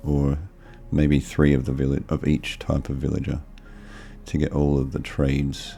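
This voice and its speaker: A man's very deep, low voice in a relaxed tone, monotone and flat, at a moderate pace against noticeable background noise. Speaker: gaming video creator. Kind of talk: let's play commentary. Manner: casual, relaxed.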